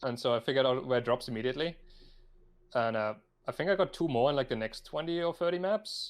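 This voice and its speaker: Speaking at a very fast pace yet with long, frequent pauses, a man uses lively intonation and a fairly high pitch. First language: not English. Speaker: gaming podcast co-host. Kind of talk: casual chat.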